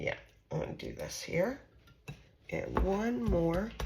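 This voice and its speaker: A woman speaks at a very slow pace. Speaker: home cooking channel host. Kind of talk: casual cooking tutorial. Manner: chatty, conversational with fillers.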